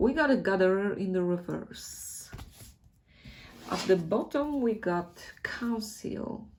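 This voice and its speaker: At a very slow pace in a Polish accent, the speaker uses lively intonation, with long, frequent pauses and audible room echo. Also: woman, medium pitch for a woman. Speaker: tarot reader. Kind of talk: tarot reading. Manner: casual, hesitant.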